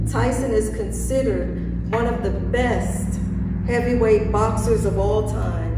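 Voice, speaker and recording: A woman at a fairly slow pace, with loud background noise and audible room echo. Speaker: preacher. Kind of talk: sermon. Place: church. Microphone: podium.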